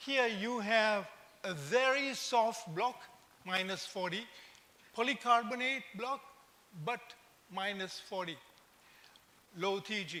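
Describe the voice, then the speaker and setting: A man's raised, projected voice, bright and sharp in tone, at a very slow pace with ordinary pitch variation. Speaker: invited conference speaker. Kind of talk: conference lecture.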